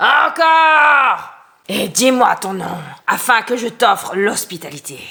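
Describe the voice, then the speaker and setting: In a put-on character voice, a woman shouts at a high pitch and a fairly slow pace. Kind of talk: bedtime story. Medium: read story. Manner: gruff, threatening.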